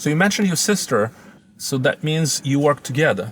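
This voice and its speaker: Over noticeable background noise, a fairly high-pitched man speaks at a moderate pace with lively intonation. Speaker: interviewer, English-learning channel host. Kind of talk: interview questions.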